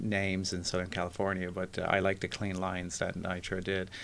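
With an Irish accent, a man speaks in a very deep, low voice. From Ireland, Dublin. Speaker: architect. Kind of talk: interview.

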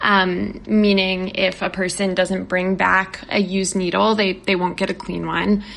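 A woman with an American accent and medium pitch speaks at a fairly slow pace in a monotone, flat intonation with hardly any pauses, over noticeable background noise. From West Virginia, US. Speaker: journalist. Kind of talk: interview. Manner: halting, many fillers and repeats.

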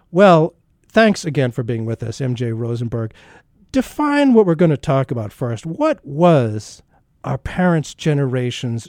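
A man with an unremarkable speaking voice and medium pitch talks at a fairly slow pace, the sound dry and close with no echo. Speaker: radio host. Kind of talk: interview discussion.

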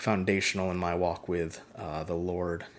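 Audible room echo surrounds a man's very deep, low voice. He speaks at a fairly slow pace. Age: 30s. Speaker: podcast host and missionary. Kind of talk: casual monologue. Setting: home living room. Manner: hesitant with many fillers.

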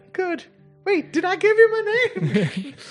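An extremely high-pitched, put-on character voice speaks at a fairly slow pace. Faint music plays in the background. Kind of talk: old-timey.

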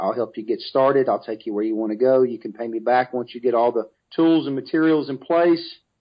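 A plain, everyday voice: a man with an American accent, medium pitch, ordinary pitch variation, a fairly quick pace and hardly any pauses. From US South, Mobile, Alabama. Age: 40s. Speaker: author and business speaker. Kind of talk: interview.

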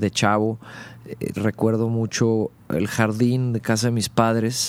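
A man's fairly low voice at a very slow pace, with fairly even intonation. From Monterrey, northern Mexico. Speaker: rock band vocalist. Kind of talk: casual interview.

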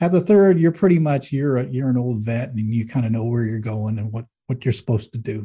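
A man's dark, mellow, somewhat breathy voice with an American accent, lively intonation, a fairly quick pace and hardly any pauses. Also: medium pitch for a man. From US Northeast, Manchester, New Hampshire. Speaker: business executive and author. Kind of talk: interview.

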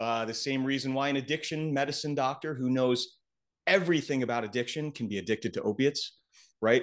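A man's normal speaking voice, medium in pitch, with lively intonation at a fairly quick pace over a quiet background. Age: 40s. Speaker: psychiatrist. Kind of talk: casual chat.

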